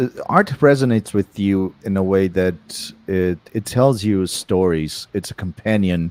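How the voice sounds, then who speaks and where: A man with a non-native accent speaks fairly slowly at a fairly low pitch, with hardly any pauses. His pitch varies in an ordinary way, and the sound is dry and close with no echo. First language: not English. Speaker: artist. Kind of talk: interview. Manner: halting.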